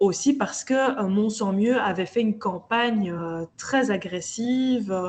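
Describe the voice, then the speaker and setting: Spoken at a very slow pace with hardly any pauses, the voice is somewhat breathy and shows ordinary pitch variation. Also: woman, fairly high pitch for a woman. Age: 30s. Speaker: local politician. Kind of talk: interview.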